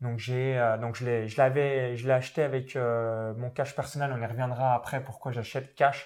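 A man at a medium pitch and a very slow pace, on a very clean recording with a silent background. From France, Saône-et-Loire (rural Burgundy). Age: 20s. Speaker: internet entrepreneur and property investor. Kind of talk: interview.

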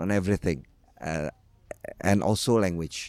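A man speaks with an Indonesian accent and lively intonation. The sound is dry and close, with no echo. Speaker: language enthusiast, writer. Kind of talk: panel discussion.

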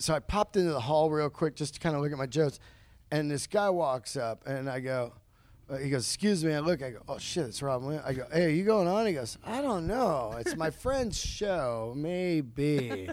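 Here a man with fairly high pitch talks in a normal speaking voice at a moderate pace. The recording is very clean, with a silent background. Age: 50s. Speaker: stand-up comedian. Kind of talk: casual chat.

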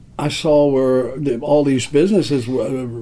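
Talking at a very slow pace, a man with a fairly high pitch comes through with audible room echo and noticeable background noise. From Kentucky, Owensboro. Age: 70s. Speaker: music venue owner. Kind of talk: interview. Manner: halting.

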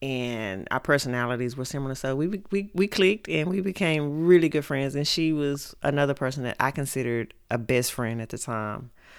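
Speaking in an East Texas accent, a woman with a very deep, low pitch talks at a fairly quick pace with lively intonation and hardly any pauses. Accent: East Texas Southern US. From Texas, Mount Pleasant. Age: 40s. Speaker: podcast host's mother. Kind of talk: casual interview about life story.

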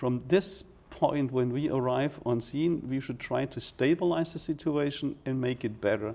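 A man with a German accent and a dark, mellow tone talks at a moderate pace with ordinary pitch variation and hardly any pauses. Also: medium pitch for a man. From Germany. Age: 40s. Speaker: fire chief. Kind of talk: interview. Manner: halting.

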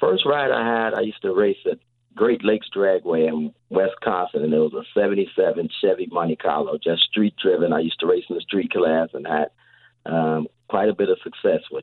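A man speaks at a moderate pace, and his loudness swings widely. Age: 50s. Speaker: drag race promoter. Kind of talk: casual interview.

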